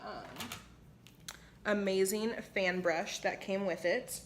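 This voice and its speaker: Audible room echo surrounds a woman who talks at a very slow pace with fairly even intonation. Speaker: beauty vlogger. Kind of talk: makeup tutorial. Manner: casual, chatty.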